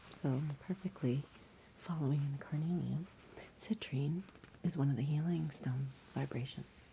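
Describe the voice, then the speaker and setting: Whispering and soft-spoken, the voice moves along at a fairly slow pace. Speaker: ASMR creator. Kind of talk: ASMR roleplay, crystal card reading. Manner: occasional whispering, smiling.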